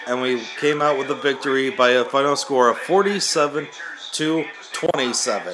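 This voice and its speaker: A man speaks with ordinary pitch variation. Noticeable background noise can be heard behind him. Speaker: gaming channel host. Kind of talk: video game commentary. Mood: upbeat, apologetic about the glare. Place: home room. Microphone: phone near.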